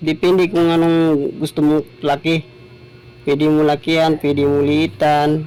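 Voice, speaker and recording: With fairly even intonation and a fairly slow pace, this is an ordinary speaking voice. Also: man, very even loudness. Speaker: small YouTuber. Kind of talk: tutorial.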